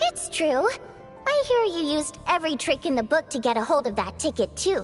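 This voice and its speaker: Clear music plays in the background as a put-on character voice speaks at a fairly quick pace. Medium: machinima. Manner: casual, playful.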